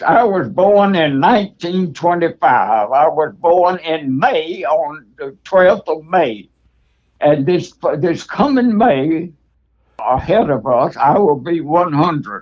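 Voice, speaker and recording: Speaking at a very slow pace in a Southern US accent, a man uses a high pitch and lively intonation. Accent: Southern US (Georgia). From US South, Reynolds, Georgia. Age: 90s. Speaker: retired architect. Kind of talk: recorded reminiscence.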